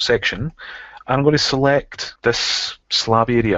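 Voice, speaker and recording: With a Scottish accent, a man talks at a fairly slow pace in a medium pitch with ordinary pitch variation. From Scotland. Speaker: software trainer. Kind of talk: tutorial.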